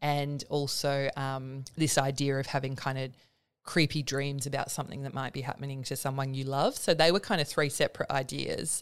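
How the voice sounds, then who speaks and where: With an Australian accent, a woman speaks in a very deep, low voice at a moderate pace with fairly even intonation. The recording is very clean and the background silent. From Perth, Western Australia. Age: 30s. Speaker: writer. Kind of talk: interview.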